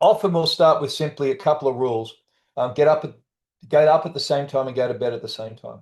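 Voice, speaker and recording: A man talks at a very fast pace in a fairly high, somewhat breathy voice. His loudness swings widely while his pitch varies in an ordinary way. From Australia. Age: 60s. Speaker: trauma coach and author. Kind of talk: interview. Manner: casual.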